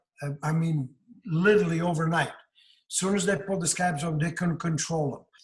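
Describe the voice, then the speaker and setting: Speaking at a fairly quick pace, a man holds his high pitch to fairly even intonation. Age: 60s. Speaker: patient. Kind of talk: testimony. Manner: halting.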